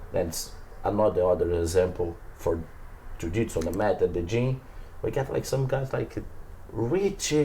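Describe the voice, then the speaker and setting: At a moderate pace and medium pitch, a man speaks in a dark, mellow, somewhat breathy tone with lively intonation and long, frequent pauses. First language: Portuguese. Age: 20s. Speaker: professional jiu-jitsu athlete. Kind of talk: casual interview chat. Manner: halting, broken English.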